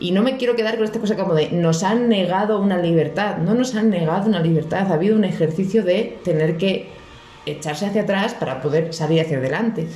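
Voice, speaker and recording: Amid noticeable background noise and audible room echo, a woman with a Spanish accent talks at a very fast pace and medium pitch, with very even loudness and ordinary pitch variation. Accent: Spanish (Spain). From Spain. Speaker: podcast guest. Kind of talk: casual chat.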